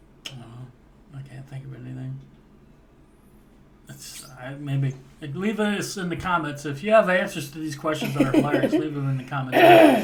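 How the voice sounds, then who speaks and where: With an unremarkable speaking voice, a man talks at a moderate pace in a fairly high pitch with ordinary pitch variation. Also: big swings in loudness. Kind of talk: casual podcast conversation.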